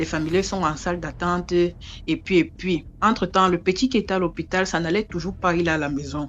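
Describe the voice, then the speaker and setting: With ordinary pitch variation, a woman talks fairly quickly. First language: an African local language (speaking French). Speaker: storyteller. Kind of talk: oral storytelling. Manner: conversational, repetitive.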